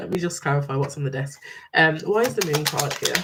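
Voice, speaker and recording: Noticeable background noise is present. The talking goes at a fairly quick pace. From English Midlands, near Birmingham. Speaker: tarot reader. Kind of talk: live-stream tarot reading. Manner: hesitant, many fillers.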